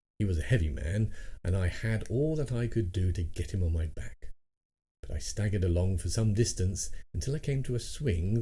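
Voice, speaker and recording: Somewhat breathy and dark, mellow in tone, this voice speaks in a British accent at a fairly quick pace with lively intonation. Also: man. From England. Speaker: audiobook narrator. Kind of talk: audiobook reading of a classic short story.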